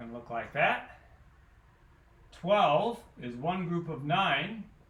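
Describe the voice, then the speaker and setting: A man speaks at a fairly high pitch with ordinary pitch variation. Room echo is audible, and background noise is noticeable. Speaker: math teacher. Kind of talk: lecture. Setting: recorded alone without students.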